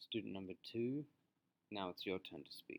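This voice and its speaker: Calm and fairly low-pitched, a man speaks at a moderate pace with a slight Australian accent, the sound dry and close with no echo. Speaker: teacher. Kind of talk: reflective presentation; lecture. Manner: clear.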